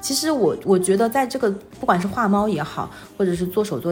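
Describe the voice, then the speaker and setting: Lively intonation carries this fairly quick delivery over noticeable background noise. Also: woman. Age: 30s. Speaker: full-time mother and illustrator. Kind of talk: casual interview.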